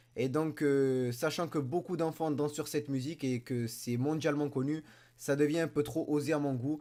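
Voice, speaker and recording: Speaking at a fairly quick pace, a man with a fairly high pitch and a dark, mellow tone is captured in a very clean recording with a silent background. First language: Spanish and French (speaking French). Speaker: YouTuber. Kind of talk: casual vlog commentary. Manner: animated.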